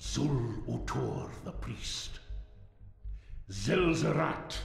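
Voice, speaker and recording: A man puts on a solemn character voice at a very slow pace, with clear echo and clear background noise. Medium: video game. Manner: slow, solemn, ominous.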